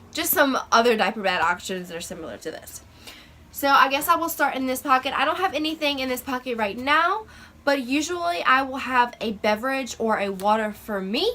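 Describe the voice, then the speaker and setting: Projecting her raised voice at a high pitch, a woman speaks at a fairly quick pace with very wide pitch swings. Noticeable background noise is present. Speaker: lifestyle vlogger and mom. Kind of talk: casual vlog show-and-tell. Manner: halting, many fillers.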